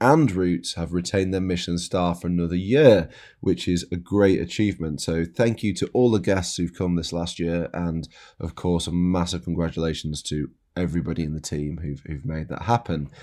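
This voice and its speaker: A Yorkshire accent at a moderate pace, dark, mellow tone, very clean recording and silent background. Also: man. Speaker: podcast host and chef. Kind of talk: scripted narration.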